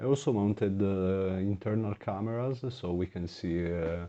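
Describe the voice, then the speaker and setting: A dark, mellow tone with a non-native accent, ordinary pitch variation and a moderate pace over a quiet background. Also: man. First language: not English. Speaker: gaming YouTuber. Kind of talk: gameplay commentary. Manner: halting, many filler words.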